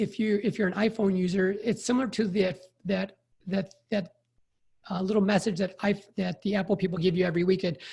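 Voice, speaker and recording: This man speaks with an American accent at a fairly quick pace. His voice is high-pitched with fairly even intonation. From Chicago, US Midwest. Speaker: emergency physician and burnout coach. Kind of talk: podcast interview.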